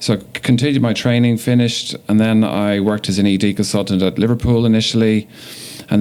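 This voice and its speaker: A man with an Irish accent at a fairly quick pace, over noticeable background noise. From Ireland, Dublin. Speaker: emergency physician. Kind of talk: podcast interview.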